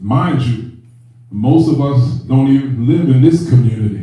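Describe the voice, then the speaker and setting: A man with a medium pitch speaks in a space with audible room echo and noticeable background noise. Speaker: spiritual leader. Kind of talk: sermon.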